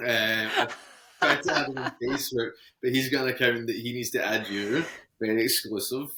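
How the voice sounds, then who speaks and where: A man with a Scottish accent, medium pitch, fairly even intonation and a moderate pace. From Scotland, Ayrshire. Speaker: podcast guest, engaged partner. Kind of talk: casual interview chat.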